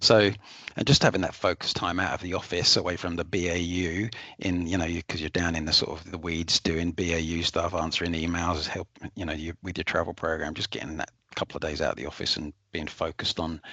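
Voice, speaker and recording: Flat, monotone delivery comes at a very fast pace in an English accent, with a bright, sharp tone. The sound is dry and close, with no echo. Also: man, very deep, low pitch for a man. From England. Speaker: corporate travel manager. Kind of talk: webinar testimony. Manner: hesitant, many fillers and repeats.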